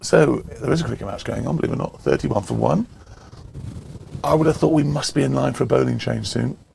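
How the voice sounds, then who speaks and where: Over noticeable background noise, a man with an English accent speaks very fast yet leaves long, frequent pauses. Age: 60s. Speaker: cricket commentator. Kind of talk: casual live commentary.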